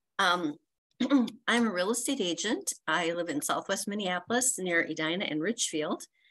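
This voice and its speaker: Against a quiet background, a woman speaks at a moderate pace with lively intonation and a bright, sharp tone. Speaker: network member. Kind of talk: casual chat. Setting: video call. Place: home room. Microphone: video call.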